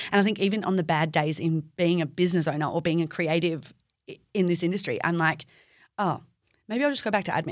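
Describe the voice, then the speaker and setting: A woman with an Australian accent, fairly low-pitched, at a very fast pace, on a very clean recording with a silent background. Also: ordinary pitch variation. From Perth, Western Australia. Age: 20s. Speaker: beauty therapist and business owner. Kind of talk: casual interview chat. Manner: animated.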